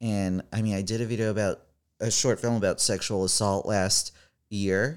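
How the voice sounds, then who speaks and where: In a very clean recording with a silent background, a man with an unremarkable speaking voice and a fairly low pitch talks at a moderate pace, his intonation fairly even and his loudness very even. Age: 30s. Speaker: comedian. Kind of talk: casual chat.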